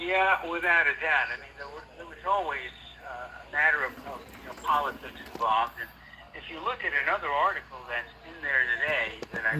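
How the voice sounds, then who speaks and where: The speaker talks with an American accent at a fairly quick pace, with big swings in loudness. Noticeable background noise runs underneath. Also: man. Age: 60s. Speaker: sports historian. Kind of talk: interview.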